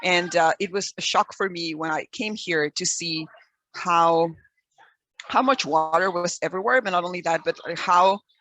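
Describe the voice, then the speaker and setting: A woman with a Mexican accent speaks at a moderate pace in a fairly low pitch. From Mexico. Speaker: environmental educator. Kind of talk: webinar presentation. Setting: video call. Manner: hesitant, many fillers.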